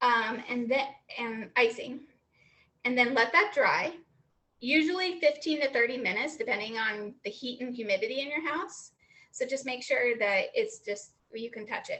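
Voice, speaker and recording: At a moderate pace, a woman with a high pitch speaks with lively intonation. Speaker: home baker teaching a class. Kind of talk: tutorial. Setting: video call. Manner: casual, many fillers.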